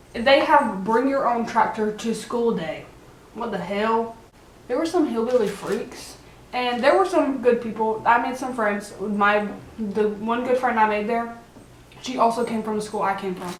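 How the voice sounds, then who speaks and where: A woman's American-accented voice with ordinary pitch variation, audible room echo and noticeable background noise. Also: fairly slow pace. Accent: sounds country sometimes. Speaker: vlogger. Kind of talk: casual chat. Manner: animated.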